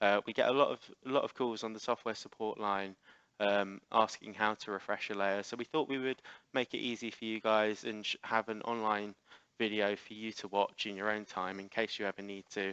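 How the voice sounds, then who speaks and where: A man with an English accent speaks quickly in a fairly low, bright, sharp voice with monotone, flat intonation. The sound is dry and close with no echo, and the background is quiet. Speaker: software trainer. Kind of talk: webinar presentation. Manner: fast.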